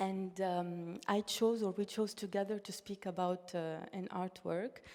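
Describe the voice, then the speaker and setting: A Russian accent at a fairly slow pace, flat and monotone, with noticeable background noise. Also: woman, medium pitch for a woman. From Tunisia, in a Russian-speaking diaspora. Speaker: artist. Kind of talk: panel discussion. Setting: stage with audience, streamed online. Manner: halting, with false starts.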